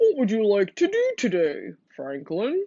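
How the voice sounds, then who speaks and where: Pitched fairly high, the voice is a put-on character voice. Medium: read story. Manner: gentle.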